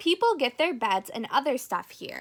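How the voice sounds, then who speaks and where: A woman puts on a character voice pitched high. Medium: read story. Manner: cautious.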